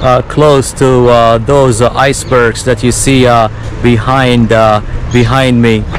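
Over clear background noise, a man talks at a fairly slow pace.

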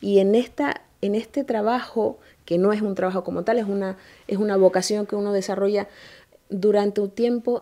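At a moderate pace, a woman with a Canarian accent speaks at medium pitch in a dark, mellow tone with fairly even intonation. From Canary Islands, Tenerife (Granadilla); Canary Islands. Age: 30s. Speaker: mayor. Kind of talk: interview. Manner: formal. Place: office.

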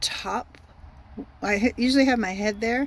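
Recorded dry with no echo, the voice moves at a fairly slow pace. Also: woman. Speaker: van dweller vlogger. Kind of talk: casual vlog tour. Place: car. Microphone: phone near.

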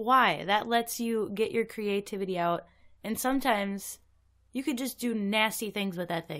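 In a very clean recording with a silent background, a woman speaks in a normal speaking voice, fairly high in pitch, at a moderate pace with ordinary pitch variation. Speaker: guest co-host. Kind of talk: casual banter.

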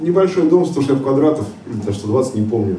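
Lively intonation marks this man's speech at a moderate pace. Audible room echo and light background noise are present. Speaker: solar power seller and homeowner; speaker. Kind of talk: conference discussion. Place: hall.

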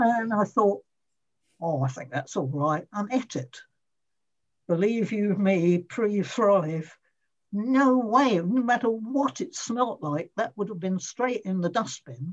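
Against a quiet background, the somewhat breathy voice moves at a very slow pace with very wide pitch swings. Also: woman. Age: 80s+. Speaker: former emetophobia sufferer. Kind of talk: interview answer. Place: home room. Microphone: video call.

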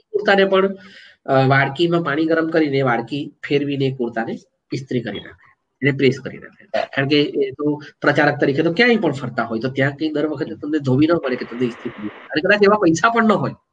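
Somewhat breathy, fairly high male pitch with lively intonation, over light background noise. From South Gujarat, Valsad district; South Gujarat. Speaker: writer and columnist; guest. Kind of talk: interview. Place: home room. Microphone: earbuds.

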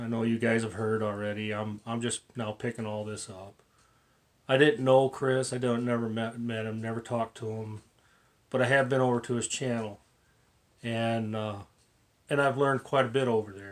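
This man talks at a moderate pace in a monotone, flat intonation, leaving long, frequent pauses. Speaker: model car hobby channel host. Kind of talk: casual vlog chat. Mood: grateful, then somber. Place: home room. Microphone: phone near.

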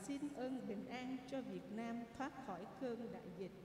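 Audible room echo and light background noise surround a woman speaking at a very slow pace. Her pitch is high, with ordinary variation. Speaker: lector or commentator at Mass. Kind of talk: liturgical announcement reading. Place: church.

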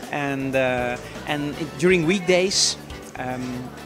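A man's voice with ordinary pitch variation over clear background music. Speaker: guest. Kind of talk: interview answer. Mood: friendly, relaxed. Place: shop.

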